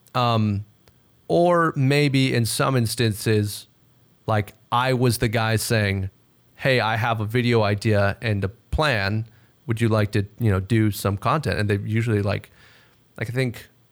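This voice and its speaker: In a very clean recording with a silent background, a man with an American accent and an ordinary speaking voice talks at a moderate pace with ordinary pitch variation. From Texas. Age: 20s. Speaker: gaming content creator. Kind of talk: casual chat.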